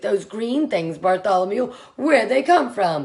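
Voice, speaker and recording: A woman's raspy, put-on character voice, fairly high in pitch, with very wide pitch swings at a moderate pace. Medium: read story. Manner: loud, shouting.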